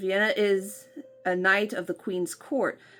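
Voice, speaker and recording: A woman speaks while music plays in the background. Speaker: book vlogger. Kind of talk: casual talk to camera, unboxing video.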